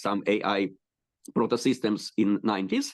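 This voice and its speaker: A man's fairly low voice with a Russian accent at a moderate pace, quiet background. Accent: Russian-speaking Eastern European. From Ukraine, Kyiv. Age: 60s. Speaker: rabbi and educator. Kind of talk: interview introduction. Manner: halting, many fillers.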